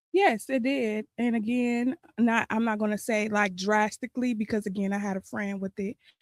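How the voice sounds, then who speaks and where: A woman with an ordinary speaking voice talks at a moderate pace with hardly any pauses, her fairly high pitch showing ordinary variation in a dry, close sound with no echo. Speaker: actress. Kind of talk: interview.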